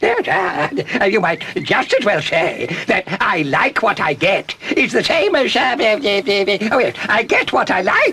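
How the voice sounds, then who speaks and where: Putting on a character voice, a man speaks high and at a fairly slow pace. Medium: short film. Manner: stammering, flustered.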